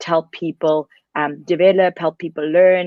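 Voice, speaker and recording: The woman's voice is fairly low and her intonation monotone and flat. She talks at a moderate speed. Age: 30s. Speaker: entrepreneur and keynote speaker. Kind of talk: keynote speech.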